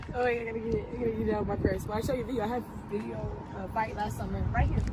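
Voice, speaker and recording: Talking at a very fast pace, a woman is heard over noticeable background noise with audible room echo. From California. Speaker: bartender. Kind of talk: street interview.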